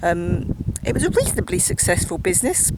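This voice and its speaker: The speaker has an Essex accent and talks at a moderate pace. Noticeable background noise runs behind the voice. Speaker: narrator touring countryside. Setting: outdoors.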